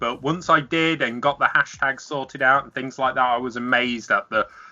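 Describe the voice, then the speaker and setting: A man's medium-pitched voice with a British accent, at a moderate pace and with ordinary pitch variation, music playing behind him. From England. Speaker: podcast guest, maker of game cases. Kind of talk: casual chat. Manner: halting, many fillers.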